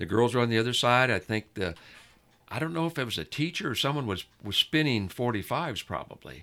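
Someone with a West Coast US accent talks at a fairly quick pace with lively intonation and a bright, sharp tone, on a very clean recording with a silent background. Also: man, medium pitch for a man. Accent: General American (West Coast). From US West Coast, Southern California. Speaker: music fan. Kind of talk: casual chat.

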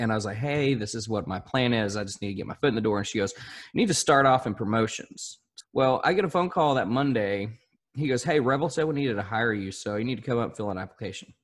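In a Southern US accent, the speaker goes at a very fast pace with ordinary pitch variation over a quiet background. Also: man, medium pitch for a man. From southern Arkansas. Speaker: country radio host. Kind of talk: casual interview chat.

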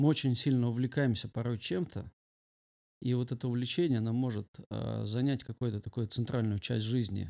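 A man speaks with a dark, mellow tone at a moderate pace and with ordinary pitch variation. The sound is dry and close, with no echo. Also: medium pitch for a man. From rural Russia. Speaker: pastor and youth leader. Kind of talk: casual interview.

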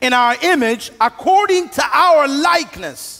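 The man's voice is raised and projected, and his intonation is lively. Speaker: pastor. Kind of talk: sermon. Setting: church with live audience and band. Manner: conversational, humorous.

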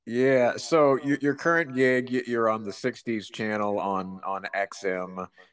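A man's medium-pitched, unremarkable speaking voice, fairly slow with hardly any pauses and ordinary pitch variation, over a quiet background. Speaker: travel journalist and podcast host. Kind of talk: interview, podcast host narration.

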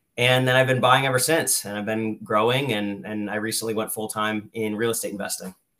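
A man with an American accent speaks at a fairly quick pace and a medium pitch. His tone is bright and sharp, and his intonation fairly even. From Lehigh Valley, Pennsylvania. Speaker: real estate investor, former chemical engineer. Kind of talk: interview.

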